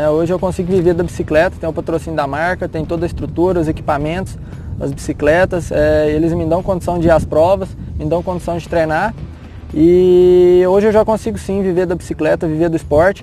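A man with a high voice talks at a fairly quick pace and fairly even intonation, with noticeable background noise behind him. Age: 20s. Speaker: mountain bike racer. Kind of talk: interview.

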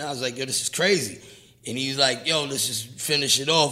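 Audible room echo surrounds a man's bright, sharp tone. His pitch is fairly high, and his intonation stays fairly even. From New York, Brooklyn (Brownsville). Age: 40s. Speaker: rapper and producer. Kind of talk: casual interview.

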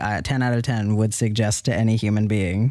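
A man with an American accent and a plain, everyday voice, fairly low in pitch, at a moderate pace, in a very clean recording with a silent background. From New York City. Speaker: podcast co-host, reseller. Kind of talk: casual chat.

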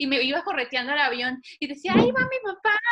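A raised, projected voice at a fairly quick clip over noticeable background noise. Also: woman. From Mexico (Cancún, Monterrey) and Panama. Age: 20s. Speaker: airline pilot. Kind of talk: interview.

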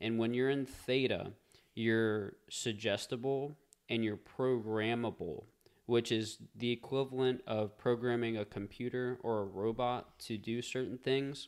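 A man with an American accent has a plain, everyday voice. His medium pitch, fairly even intonation and fairly slow pace hold throughout. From US South, Covington, Louisiana. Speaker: podcast host, real estate. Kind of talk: casual podcast conversation.

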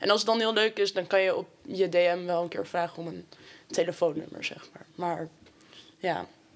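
A woman uses an ordinary speaking voice at a moderate pace, with fairly low pitch. Her intonation stays fairly even while her loudness swings widely. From Amsterdam, Netherlands. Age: 19. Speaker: sociology student. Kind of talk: casual chat.

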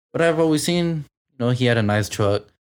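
Speaking fairly quickly with an American accent, a man has an ordinary speaking voice at a medium pitch. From south side of a US city. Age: 20s. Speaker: young parent. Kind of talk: casual chat.

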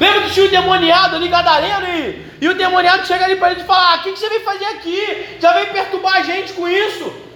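Over noticeable background noise, a man with an extremely high voice for a man speaks in a raised, projected voice at a very fast pace with flat, monotone intonation and hardly any pauses. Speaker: preacher. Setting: church. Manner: conversational, direct address to the congregation.

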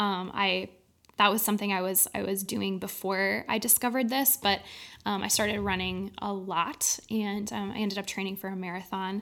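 At a moderate pace, a woman with an American accent talks at a medium pitch. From Minnesota, Saint Paul. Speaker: photographer and ministry podcaster. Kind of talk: interview testimony. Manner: halting, many fillers.

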